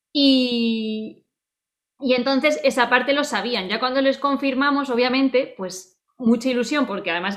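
A woman with a fairly high-pitched, unremarkable speaking voice. She talks at a moderate pace with ordinary pitch variation. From Spain (Salamanca, Murcia). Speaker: podcast co-host, teacher. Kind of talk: casual chat.

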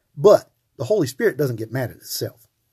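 A man speaks at a moderate pace in a dark, mellow tone that is somewhat breathy. His pitch swings very widely. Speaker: podcast host, Bible teacher. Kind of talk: Bible teaching monologue. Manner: hesitant, many filler words.

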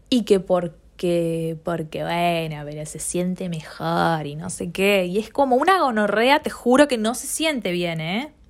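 A woman speaks in a Rioplatense accent at a fairly low pitch and fairly slow pace. The recording is very clean, with a silent background. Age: 20s. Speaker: podcaster. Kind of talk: solo monologue.

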